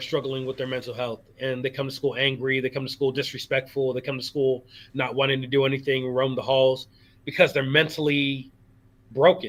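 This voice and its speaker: A man with an American accent speaks at a fairly quick pace in a medium pitch. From Rock Island, Illinois. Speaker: slam poet and educator. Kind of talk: interview answer. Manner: casual, conversational.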